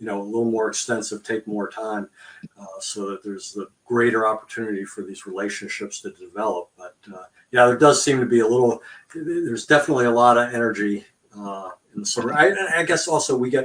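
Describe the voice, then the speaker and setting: In a plain, everyday voice, a man speaks at medium pitch and a fairly quick pace, with ordinary pitch variation and big swings in loudness. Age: 60s. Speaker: volunteer organization host. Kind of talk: interview.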